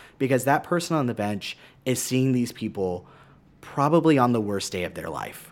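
A man with an unremarkable speaking voice talks at a moderate pace. His pitch is medium and his intonation lively. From San Marcos, Texas. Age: 30s. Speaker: political candidate. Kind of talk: radio interview. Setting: radio studio.

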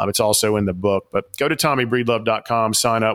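Over a very clean, silent background, a man with a Southern US accent talks at a very fast pace in a fairly low pitch. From Atlanta, Georgia. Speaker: author and executive coach. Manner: enthusiastic, animated.

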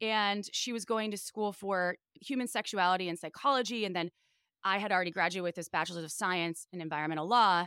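A very fast speaker with an American accent, bright and sharp in tone, with ordinary pitch variation. The recording is very clean, with a silent background and a dry, close sound with no echo. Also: woman. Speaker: sex podcast host and sex toy executive. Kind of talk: casual chat. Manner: animated.

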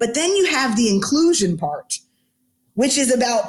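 A woman's fairly high voice with very wide pitch swings, at a moderate pace. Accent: American. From US South, Atlanta. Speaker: sports team HR executive. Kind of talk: interview. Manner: animated.

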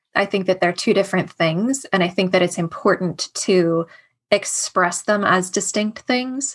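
A woman speaks at a fairly slow pace in a somewhat breathy voice, with ordinary pitch variation. Her loudness stays very even over a quiet background. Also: medium pitch for a woman. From US, Washington D.C. area. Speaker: artist and former cult member. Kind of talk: interview about life experience.

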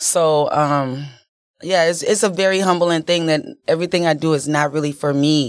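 The speaker has an American accent and a moderate pace. Pitch variation is ordinary. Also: woman. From Chicago, West Side. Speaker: nonprofit founder and entrepreneur. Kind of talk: podcast interview.

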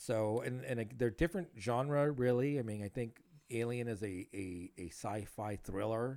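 Using an American accent, a man speaks in a dark, mellow tone at a medium pitch, keeping a moderate pace and ordinary pitch variation. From Los Angeles area, California. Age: 40s. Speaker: podcast host. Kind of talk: casual chat.

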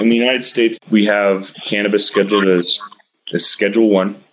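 In an American accent, a man with an unremarkable speaking voice talks at a moderate pace and a fairly low pitch. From Texas. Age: 30s. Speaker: cannabis industry expert. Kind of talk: interview.

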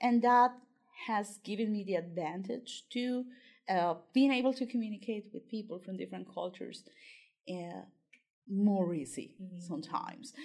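With a Spanish accent, a woman speaks at a moderate pace and medium pitch, her pitch varying in an ordinary way, her loudness swinging widely, and her speech broken by long, frequent pauses. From Colombia. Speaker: PhD student and writing tutor. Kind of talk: interview.

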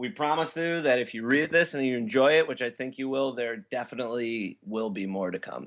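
Against a quiet background, a man talks fairly quickly in an ordinary speaking voice at medium pitch with ordinary pitch variation. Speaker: comic creator. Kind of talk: interview.

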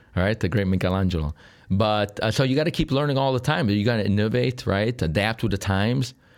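In a Sicilian accent, a man rattles along at a very fast pace and a fairly low pitch, his intonation lively and his loudness very even. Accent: Italian (Sicilian) accent in English. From Sicily, Italy. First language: Italian. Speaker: real estate broker. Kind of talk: interview.

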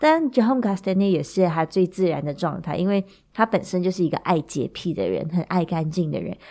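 A woman talks very fast in a fairly low voice with ordinary pitch variation. The recording is very clean, with a silent background. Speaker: podcast host, wine enthusiast. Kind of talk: casual storytelling monologue. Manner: chatty, many filler particles.

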